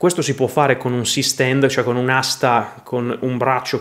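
A man speaking at a moderate pace. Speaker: YouTuber explaining video gear; video creator. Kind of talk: tutorial. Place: studio.

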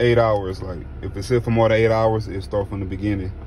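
This man speaks at a moderate pace with ordinary pitch variation, light background noise and a dry sound with no echo. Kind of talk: casual vlog chat. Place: car. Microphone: phone near.

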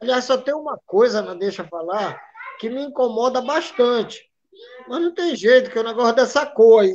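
This man's voice sits at an extremely high pitch and has ordinary pitch variation. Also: moderate pace. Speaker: samba school drum master. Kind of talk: casual interview. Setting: video call live stream.

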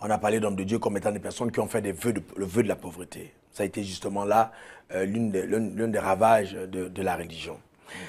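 A man's fairly low voice at a fairly quick pace, flat and monotone in intonation. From Cameroon. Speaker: pastor. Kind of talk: TV interview. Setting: studio. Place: studio. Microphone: lapel.

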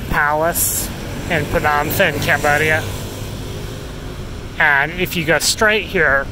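Speech comes at a very slow pace, dry with no echo. Noticeable background noise sits behind it. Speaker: walking tour vlogger. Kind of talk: casual vlog chat. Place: street. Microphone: phone near.

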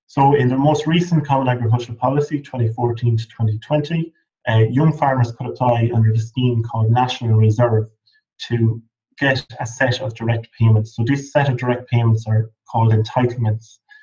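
An Irish accent carries this man's somewhat breathy voice. His intonation stays fairly even over a quiet background. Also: medium pitch for a man, moderate pace. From Ireland, Midlands; Ireland. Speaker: PhD researcher in agriculture; webinar presenter. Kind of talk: lecture. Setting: webinar. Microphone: video call.

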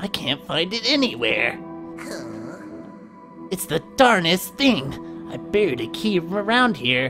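A man puts on a character voice pitched high, with clear music playing behind him. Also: fairly slow pace. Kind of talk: game dialogue read aloud by a streamer. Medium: game stream. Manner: puzzled, folksy, muttering to himself.

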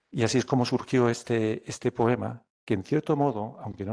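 Against a quiet background, a man with a dark, mellow tone speaks at a moderate pace with fairly even intonation. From Alicante, Spain. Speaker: poet. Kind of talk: poetry reading and talk. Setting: live event with audience. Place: meeting room. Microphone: podium.

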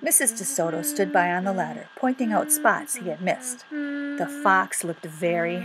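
Lively intonation shapes this unforced reading voice.

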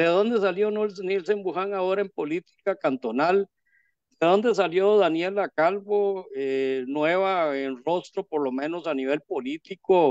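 Against a quiet background, a man with a Costa Rican accent speaks at a high pitch and fairly slow pace with ordinary pitch variation, in a dry sound with no echo. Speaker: interviewer. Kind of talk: interview. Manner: formal. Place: home room. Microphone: video call.

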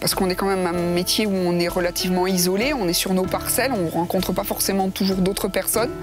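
With clear music in the background, a woman talks very fast in a dry sound with no echo. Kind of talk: interview answer. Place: open country. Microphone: lapel.

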